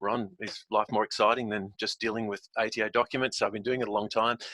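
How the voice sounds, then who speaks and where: The voice belongs to a man and has a bright, sharp tone. The sound is dry and close, with no echo. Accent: Australian. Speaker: software company founder presenting. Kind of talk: webinar presentation. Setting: video call from home office. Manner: fast; animated.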